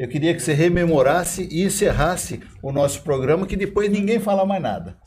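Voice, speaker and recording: Somewhat breathy, this man talks with lively intonation. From Brazil, Osasco (São Paulo). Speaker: podcast co-host. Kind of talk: casual chat.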